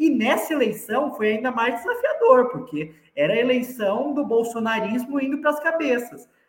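A man with an extremely high pitch and ordinary pitch variation talks with hardly any pauses. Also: moderate pace. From Brazil, São Paulo city. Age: 20s. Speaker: politician. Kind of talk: interview.

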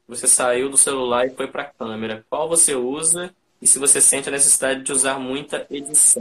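An unremarkable speaking voice: a man talking at a fairly quick pace with fairly even intonation. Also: medium pitch for a man. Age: 20s. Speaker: podcast host and photographer. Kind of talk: live-stream interview. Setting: online live stream.

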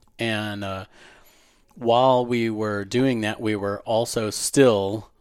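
A man with a fairly low pitch and an American accent speaks in a monotone, flat intonation. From Florida (Pensacola), raised from 13; early years California. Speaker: entrepreneur. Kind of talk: interview.

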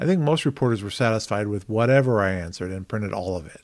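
Speaking at a very fast pace, a man uses a fairly low pitch. The recording is very clean, with a silent background. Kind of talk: audiobook-style reading aloud of a memoir, with casual podcast intro. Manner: measured, earnest, slightly hesitant with filler words.

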